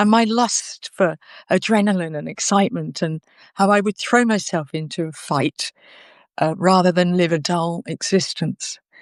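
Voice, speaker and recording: A woman with a normal speaking voice and lively intonation talks at a fairly slow pace, in a dry, close sound with no echo and a quiet background. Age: 60s. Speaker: interviewee. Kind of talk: personal testimony in an interview. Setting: live video conversation.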